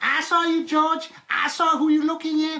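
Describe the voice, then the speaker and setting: This female-sounding put-on character voice sits at an extremely high pitch, moving at a moderate pace with monotone, flat intonation. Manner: accusing.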